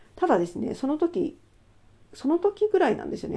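A woman is speaking. Her pace is very fast. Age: 40s. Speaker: solo channel host. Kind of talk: casual monologue about a book. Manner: hesitant, many fillers.

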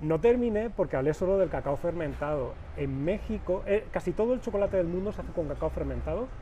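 Talking at a very fast pace, a man leaves hardly any pauses. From Spain, Valencia. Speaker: chocolate maker. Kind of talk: casual interview.

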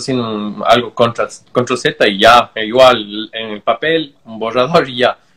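A man's normal speaking voice at a medium pitch, fairly slow in pace, with fairly even intonation. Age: 30s. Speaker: tattoo artist. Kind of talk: casual interview.

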